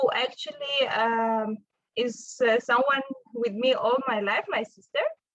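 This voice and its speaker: Speaking with an Armenian accent, a woman talks at a fairly slow pace. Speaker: physicist, postdoctoral researcher. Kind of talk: invited talk. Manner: halting, with fillers.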